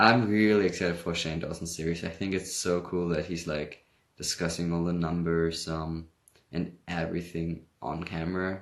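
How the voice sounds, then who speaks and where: Against a quiet background, a man with a slight Hamburg accent speaks at a moderate pace in a very deep, low voice with fairly even intonation. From Germany, Hamburg. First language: German. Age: young. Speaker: livestreamer. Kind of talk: casual chat.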